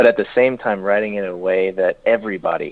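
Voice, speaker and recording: In an American accent, a man talks with a fairly low pitch and monotone, flat intonation. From California, San Diego. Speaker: country singer-songwriter. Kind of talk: radio interview. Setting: phone call. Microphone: phone line.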